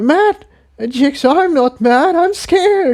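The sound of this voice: A man does a put-on character voice at an extremely high pitch, with a slightly mellow tone. He speaks slowly with lively intonation.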